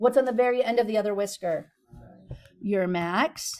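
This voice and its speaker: A woman's animated tone. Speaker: math teacher. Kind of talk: classroom lecture.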